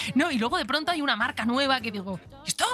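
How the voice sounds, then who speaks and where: A woman's raised, projected voice with an animated tone, amid noticeable background noise. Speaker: podcast host. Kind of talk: casual chat.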